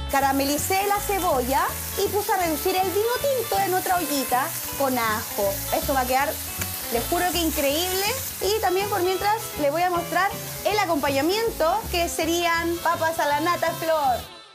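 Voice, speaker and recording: Over clear music in the background, a woman speaks at an extremely high pitch. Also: moderate pace. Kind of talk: casual cooking show chat. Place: kitchen.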